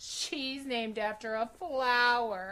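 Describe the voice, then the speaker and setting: Using a put-on character voice, a woman speaks at a high pitch and a very slow pace with ordinary pitch variation. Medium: read story.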